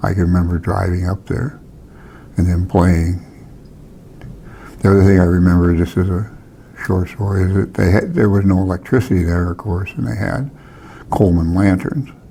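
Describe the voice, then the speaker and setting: Over noticeable background noise, a man with a very deep, low voice speaks at a moderate pace, leaving long, frequent pauses. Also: ordinary pitch variation. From Alaska, Palmer. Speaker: hunting guide and wildlife technician. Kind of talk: oral history interview. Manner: halting, with false starts.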